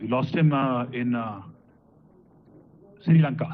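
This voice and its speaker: Audible room echo surrounds a man's medium-pitched voice, which shows ordinary pitch variation. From Punjab, India. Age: 50s. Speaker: high court judge. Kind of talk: ceremonial speech. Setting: auditorium conference. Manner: halting, frequent filler 'uh'.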